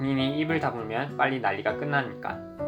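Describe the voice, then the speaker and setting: A man talks at a medium pitch and moderate pace, with ordinary pitch variation and music in the background. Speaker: screenwriter. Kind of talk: script reading.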